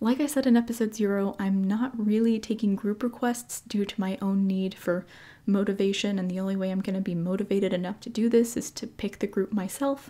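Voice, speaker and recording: Somewhat breathy, a woman talks at a fairly quick pace in a medium pitch with fairly even intonation. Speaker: podcast host. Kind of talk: podcast monologue.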